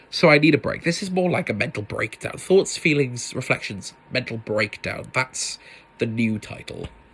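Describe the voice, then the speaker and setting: At a moderate pace, a man speaks with lively intonation and a fairly high pitch. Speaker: podcast host. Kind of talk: casual solo podcast monologue. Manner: loud, animated.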